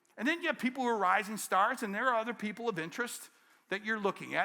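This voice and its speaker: An animated man with an American accent speaks very fast in a raised, projected voice, his pitch high and his tone bright and sharp. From Detroit, Michigan. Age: 60s. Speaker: keynote speaker, business coach. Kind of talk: keynote speech. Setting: conference stage with audience.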